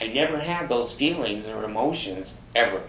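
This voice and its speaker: A man speaks at a medium pitch and a fairly slow pace. His intonation is lively, with audible room echo around him. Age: 70s. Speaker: vlogger. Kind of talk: personal storytelling monologue. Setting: home, in easy chair. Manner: hesitant, many fillers.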